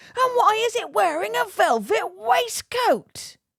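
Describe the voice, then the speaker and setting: Bellowing in a put-on character voice at an extremely high pitch, the speaker moves at a fairly slow pace. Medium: read story. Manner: bellowing, ranting.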